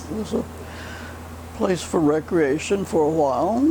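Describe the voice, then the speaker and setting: A woman is speaking. Noticeable background noise runs under her voice. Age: 80s+. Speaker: retired home economics teacher. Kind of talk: interview answer.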